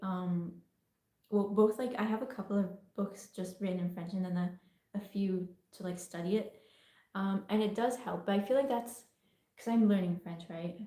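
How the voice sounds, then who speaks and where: The woman's tone is dark and mellow. There is some breathiness in it. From England. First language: Italian. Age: young. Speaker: artist. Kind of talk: casual livestream Q&A.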